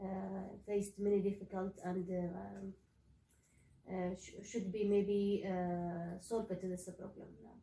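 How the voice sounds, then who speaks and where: In an Arabic accent, a somewhat breathy speaker with a dark, mellow tone talks at a fairly slow pace in a monotone, flat delivery with big swings in loudness. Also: woman, medium pitch for a woman. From Saudi Arabia. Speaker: graduate student. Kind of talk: casual discussion. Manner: halting, many fillers.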